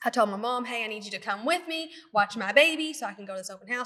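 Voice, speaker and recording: With a strong Kentucky accent, a woman talks very fast using lively intonation. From Kentucky, near Louisville. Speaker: nurse practitioner and podcast co-host. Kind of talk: casual chat.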